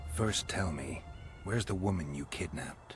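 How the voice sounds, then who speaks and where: A man growls in a put-on character voice with a very deep, low pitch. Clear music plays in the background. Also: moderate pace. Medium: video game. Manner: dry, terse.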